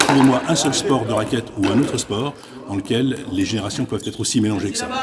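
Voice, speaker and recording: Over noticeable background noise, a man with a medium pitch talks at a fairly quick pace, his pitch varying in an ordinary way. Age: 60s. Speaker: pickleball club manager. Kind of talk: interview.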